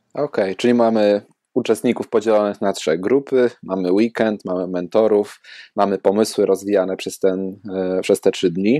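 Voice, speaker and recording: A man's fairly low, dark and mellow voice with a Polish accent, fairly even intonation, and a dry, close sound with no echo. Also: moderate pace, quiet background. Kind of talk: casual interview.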